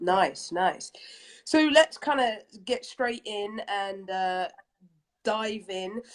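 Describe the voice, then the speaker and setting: At a very slow pace, a woman uses lively intonation in a fairly high pitch, with long, frequent pauses. The recording is very clean, and the background is silent. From England, London. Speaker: interview host. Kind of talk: interview.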